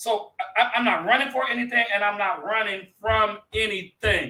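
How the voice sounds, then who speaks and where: The voice is raised and projected, animated in tone and delivered at a fairly slow pace. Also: man. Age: 50s. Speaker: pastor and talk show host. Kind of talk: casual chat.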